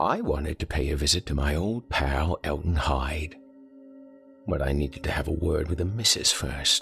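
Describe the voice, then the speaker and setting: A man puts on a character voice that is raspy and croaky, with a very deep, low pitch. He speaks at a moderate pace with ordinary pitch variation. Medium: read story. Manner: coarse, profane, bullying.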